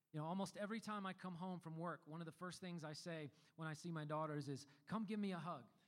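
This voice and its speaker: A man talks fairly quickly, his voice high-pitched with ordinary pitch variation. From US South (Memphis, Tennessee). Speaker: worship pastor. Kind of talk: sermon.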